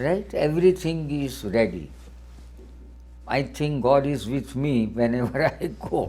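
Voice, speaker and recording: Somewhat breathy and dark, mellow in tone, a man of medium pitch talks at a fairly slow pace with ordinary pitch variation and long, frequent pauses. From India, Gujarat. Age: 70s. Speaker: philanthropist. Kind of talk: interview. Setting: television studio. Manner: broken, halting English.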